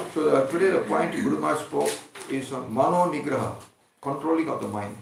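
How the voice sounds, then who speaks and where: The room echo is audible as a man talks at a very fast pace. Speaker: spiritual teacher. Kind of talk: religious discourse.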